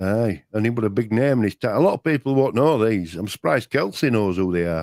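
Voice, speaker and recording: A man talks at a very fast pace with a Yorkshire accent. The sound is dry and close, with no echo. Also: fairly low pitch for a man, lively intonation. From Yorkshire, England. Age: old. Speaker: co-host of a live chat show. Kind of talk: casual chat. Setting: live stream. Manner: hesitant, with many false starts.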